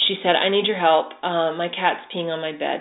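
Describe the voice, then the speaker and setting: At a moderate pace, a woman speaks in a normal speaking voice. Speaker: animal communicator. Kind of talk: casual interview chat.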